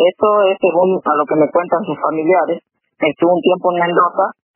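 With music in the background, a woman at medium pitch speaks at a moderate pace with ordinary pitch variation. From Argentina, Castelli, Chaco. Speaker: artist and writer. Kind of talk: radio interview. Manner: hesitant, many fillers.

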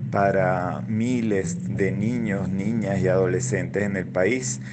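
A man's fairly low voice in audible room echo. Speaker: educator and children's rights advocate. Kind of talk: radio interview. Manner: halting, many fillers.

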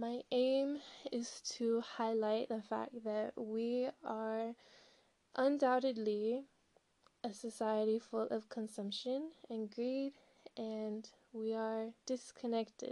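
A woman with an American accent speaks very slowly in a fairly high pitch, her tone dark and mellow and her intonation monotone and flat. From Southern California and Colorado. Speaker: student podcaster. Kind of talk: monologue podcast introduction.

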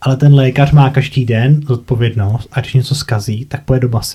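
A man talks at a moderate pace and medium pitch, his tone dark and mellow. His delivery is somewhat breathy, with monotone, flat intonation. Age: 30s. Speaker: podcast host, former medical worker. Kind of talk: casual interview.

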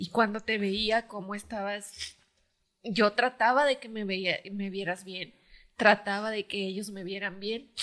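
With an ordinary speaking voice, a woman talks at medium pitch and a fairly slow pace, her intonation fairly even but her loudness showing big swings. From Mexico, Michoacán. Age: 40s. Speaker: footballer's wife. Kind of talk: casual family chat.

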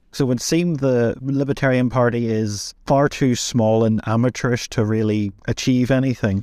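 A man with a Northern Irish accent, medium pitch and a dark, mellow tone, at a moderate pace with fairly even intonation and very even loudness, on a very clean recording with a silent background. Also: hardly any pauses. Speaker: podcast co-host. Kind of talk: casual chat.

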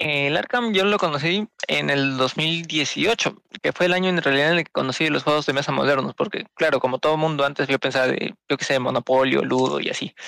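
A man's plain, everyday voice, fairly high in pitch with ordinary variation, at a fairly quick pace and very even loudness, in a dry, close sound with no echo. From Peru. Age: 20s. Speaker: podcast co-host. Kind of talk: casual chat.

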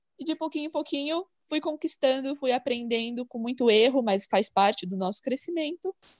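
In a very clean recording with a silent background, a woman talks at a moderate pace in a high pitch. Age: 20s. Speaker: online shop owner, resin artist. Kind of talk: casual interview.

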